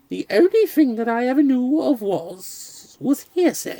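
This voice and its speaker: Using a put-on character voice, a man pitches his voice extremely high. His delivery comes at a fairly slow pace. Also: lively intonation. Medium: read story. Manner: slow, meek, doubtful.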